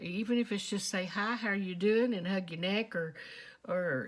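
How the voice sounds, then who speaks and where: A woman's medium-pitched voice with ordinary pitch variation on a very clean recording with a silent background. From Texas. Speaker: vlogger. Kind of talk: casual monologue. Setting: quiet storeroom at home.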